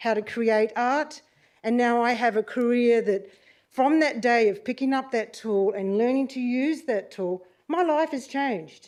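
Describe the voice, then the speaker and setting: A woman talks with an Australian accent against a quiet background. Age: 60s. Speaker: community member addressing council. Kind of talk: public deputation speech. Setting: council meeting chamber, live streamed. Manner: unscripted, heartfelt.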